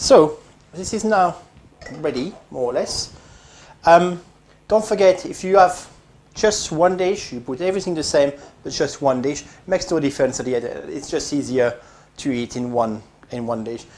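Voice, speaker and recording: Moderate pace with long, frequent pauses, in a French accent. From France. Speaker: home cooking video host. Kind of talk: cooking tutorial. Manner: casual, with frequent hesitations.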